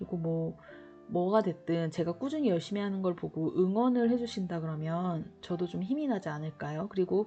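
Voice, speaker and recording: A woman's lively intonation carries over music playing in the background. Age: 40s. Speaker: diet vlogger. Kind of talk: casual talk to camera. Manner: rambling, hesitant.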